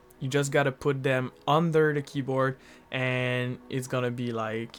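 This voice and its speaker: A man speaks at a fairly slow pace with fairly even intonation, music playing in the background. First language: not English. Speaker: tech reviewer. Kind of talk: product review.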